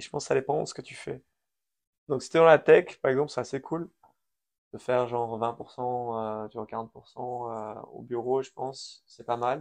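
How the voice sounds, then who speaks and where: A man talks in a plain, everyday voice at a medium pitch and a fairly slow pace. His intonation is fairly even, though his loudness swings widely. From Switzerland/France, Iranian family, partly raised in US. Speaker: crypto company founder. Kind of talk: interview.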